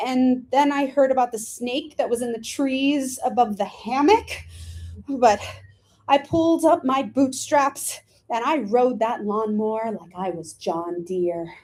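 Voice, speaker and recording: Speaking at a fairly slow pace with an American accent, a woman uses a high pitch and lively intonation. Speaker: actor and playwright. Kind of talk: autobiographical solo play reading.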